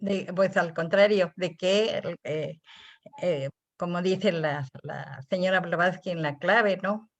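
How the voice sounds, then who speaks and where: The recording has a dry, close sound with no echo. A woman at a medium pitch speaks very slowly, with ordinary pitch variation. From Mexico. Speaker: theosophy lecturer. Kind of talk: lecture. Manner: halting.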